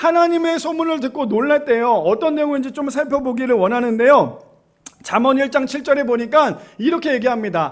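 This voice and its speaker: A man's voice, extremely high in pitch, with ordinary pitch variation. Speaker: pastor. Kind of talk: sermon. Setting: church.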